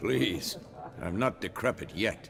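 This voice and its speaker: A raspy, put-on character voice over clear background noise. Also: man. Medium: video game. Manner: terse, dry.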